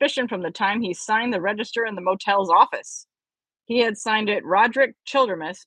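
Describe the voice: Over a quiet background, the speaker does plain reading aloud with ordinary pitch variation.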